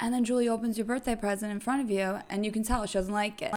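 A woman at a very fast pace, fairly high pitch and fairly even intonation, over noticeable background noise. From New York. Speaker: podcast guest.

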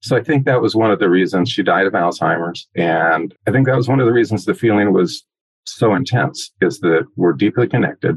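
A man's normal speaking voice, fairly low in pitch, with lively intonation and very even loudness. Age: 60s. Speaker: adoptee sharing his story. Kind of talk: podcast interview.

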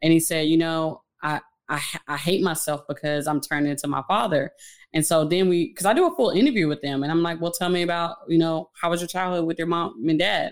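In a very clean recording with a silent background, a woman with an unremarkable speaking voice talks at a fairly quick pace, her pitch fairly low and her intonation fairly even. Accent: American. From Fort Worth, Texas. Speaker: social worker and domestic violence advocate. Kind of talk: interview.

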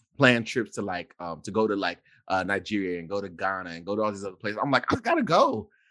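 A man's voice sounds animated and bright and sharp, with lively intonation. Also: quiet background. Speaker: podcast host. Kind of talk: casual chat.

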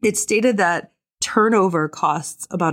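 A woman talks at a very slow pace in a very clean recording with a silent background and a dry, close sound with no echo. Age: 40s. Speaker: podcast host and tech learning coach. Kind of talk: solo podcast monologue. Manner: animated.

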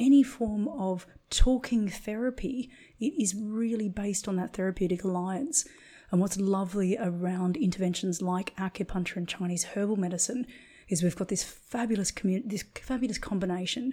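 In a very clean recording with a silent background, a woman with a dark, mellow, somewhat breathy voice speaks at a moderate pace with ordinary pitch variation. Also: medium pitch for a woman. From Australia. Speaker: acupuncturist and Chinese medicine practitioner. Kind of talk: interview conversation.

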